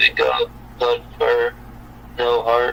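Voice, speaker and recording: Clear background noise behind a man doing a put-on character voice. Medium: machinima.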